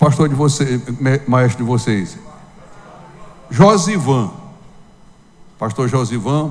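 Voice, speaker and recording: Amid noticeable background noise and audible room echo, the speaker goes at a fairly slow pace with ordinary pitch variation and long, frequent pauses. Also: man. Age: 70s. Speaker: pastor. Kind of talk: sermon.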